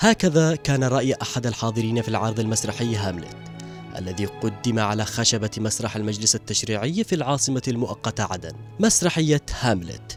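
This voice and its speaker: With music in the background, a man speaks at a moderate pace and medium pitch, his pitch varying in an ordinary way. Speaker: TV reporter. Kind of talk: TV news report narration.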